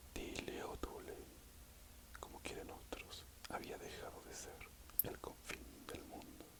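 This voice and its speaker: A man whispers very slowly, leaving long, frequent pauses, while noticeable background noise carries on. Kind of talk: ASMR audiobook reading. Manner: whispered.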